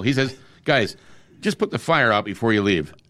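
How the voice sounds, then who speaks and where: A man with an American accent talks at a very fast pace in a bright, sharp tone with vocal fry, on a very clean recording with a silent background. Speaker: radio host. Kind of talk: casual chat.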